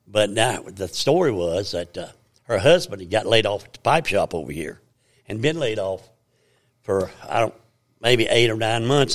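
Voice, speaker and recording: With a strong Southern Appalachian accent, a man talks at a moderate pace, leaving long, frequent pauses. His intonation is lively, and his loudness swings a lot. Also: fairly low pitch for a man. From US Appalachia, Virginia. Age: 80s. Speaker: church elder giving testimony. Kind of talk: testimony, storytelling. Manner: rambling, halting, repeats words.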